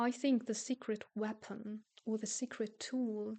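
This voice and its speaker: Speaking at a fairly slow pace, a woman has a fairly high pitch and a non-native accent. Her intonation is monotone and flat. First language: not English. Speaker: self-help youtuber and coach. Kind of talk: casual monologue to camera. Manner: halting, with repeated words.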